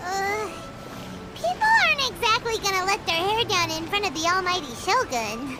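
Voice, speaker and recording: An extremely high put-on character voice moves at a moderate pace over noticeable background noise. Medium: video game.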